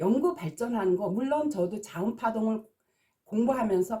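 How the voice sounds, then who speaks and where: A woman's fairly high, somewhat breathy voice, dark and mellow in tone, with lively intonation. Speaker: naming consultant and teacher. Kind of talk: video lecture. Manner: agitated.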